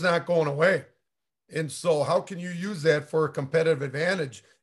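A man with an unremarkable speaking voice talks at a fairly quick pace and fairly high pitch, with fairly even intonation and a quiet background. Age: 50s. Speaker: high school coach and podcast co-host. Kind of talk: casual chat.

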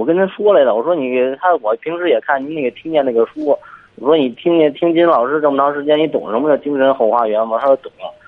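The pace of this man's speech is very fast. His voice sits fairly high, and the pitch varies in an ordinary way. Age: 20s. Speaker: forklift driver, caller. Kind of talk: phone call-in. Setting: phone call. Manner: halting.

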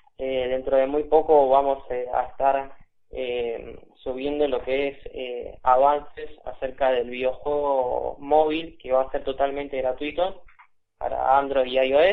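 This man speaks at a very slow pace. His fairly high pitch stays in a monotone, flat intonation. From Buenos Aires, Argentina. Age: 20s. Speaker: video game developer. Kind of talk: interview. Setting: phone call.

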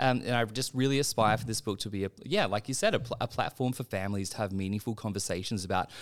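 A man speaks very fast in an Australian accent, at a fairly low pitch with ordinary pitch variation. The recording is very clean, with a silent background. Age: 30s. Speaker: medical doctor and children's author. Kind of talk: interview. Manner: halting, with repetitions; animated.

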